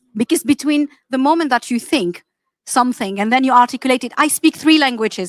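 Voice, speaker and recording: A high-pitched woman speaks with an Arabic accent at a fairly quick pace, with ordinary pitch variation. The sound is dry and close with no echo, on a very clean recording with a silent background. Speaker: AI practitioner, panelist. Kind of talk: panel discussion.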